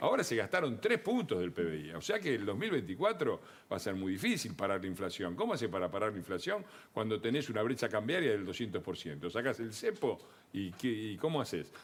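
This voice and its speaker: Speaking at a fairly quick pace with an Argentine accent, a man of medium pitch makes very wide pitch swings. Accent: Argentine Spanish (Rioplatense). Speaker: political commentator. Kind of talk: TV panel discussion.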